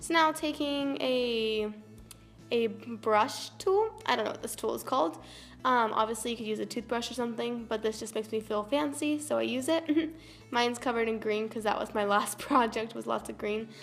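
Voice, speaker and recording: Speaking at a moderate pace, a woman uses an ordinary speaking voice, pitched fairly high and with ordinary pitch variation. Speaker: craft tutorial youtuber. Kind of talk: tutorial. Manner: casual, chatty.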